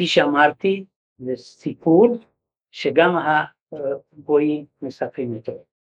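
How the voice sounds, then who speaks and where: Very slowly, a man speaks at a fairly high pitch with ordinary pitch variation and long, frequent pauses. The sound is dry and close, without echo. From Hungary. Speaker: Holocaust survivor. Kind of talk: testimony. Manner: halting.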